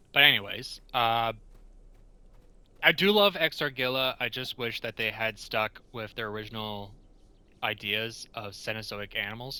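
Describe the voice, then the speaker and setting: A man at medium pitch with a bright, sharp tone, moderate pace, fairly even intonation, big swings in loudness and long, frequent pauses, on a very clean recording with a silent background. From Canada (Ontario). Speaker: gaming YouTuber. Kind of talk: gameplay commentary. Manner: casual, conversational.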